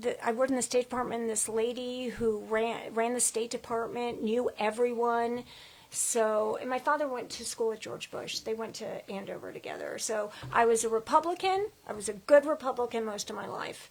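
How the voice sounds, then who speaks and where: Using a plain, everyday voice, a woman with an American accent speaks at a moderate pace, pitched fairly high with ordinary pitch variation. Her loudness swings widely. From US South (Atlanta), then Boston. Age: 60s. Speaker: interview guest. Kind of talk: casual interview, storytelling. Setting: studio podcast, live stream.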